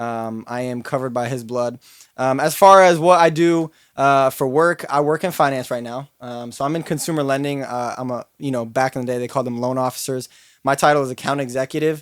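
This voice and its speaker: A man with a normal speaking voice talks at a fairly quick pace and medium pitch, with fairly even intonation, on a very clean recording with a silent background. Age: 20s. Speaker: podcast co-host, finance sales worker and influencer. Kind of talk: casual chat.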